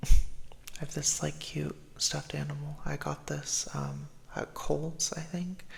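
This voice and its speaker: A soft-spoken man in a calm tone at a very slow pace, with noticeable background noise. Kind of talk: ASMR affirmations video, casual talk to camera. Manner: soft-spoken, calm, comforting.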